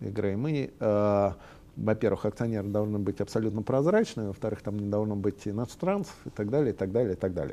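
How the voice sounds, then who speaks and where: Here a man speaks with a dark, mellow tone at a fairly low pitch. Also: quiet background. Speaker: CEO of a software company. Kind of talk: interview. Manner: hesitant, many filler sounds.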